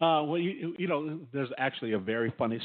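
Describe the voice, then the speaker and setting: With an American accent, this man speaks. His pitch swings are very wide. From California. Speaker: songwriter and music producer. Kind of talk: interview. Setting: remote call from poolside. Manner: halting, repeats words often.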